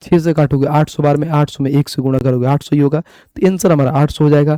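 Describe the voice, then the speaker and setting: A man with a fairly high pitch and a dark, mellow tone speaks with fairly even intonation, the sound dry and close with no echo. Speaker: math teacher. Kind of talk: lecture. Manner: casual, conversational.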